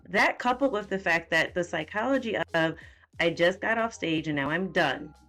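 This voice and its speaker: Music plays in the background as a woman talks. Her pace is moderate and her intonation lively. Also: fairly low pitch for a woman. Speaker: nutrition and fitness coach. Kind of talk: podcast interview host. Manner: casual, conversational.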